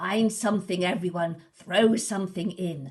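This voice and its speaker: A female-sounding voice puts on a raspy character voice at medium pitch for a woman, moving at a moderate pace. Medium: read story.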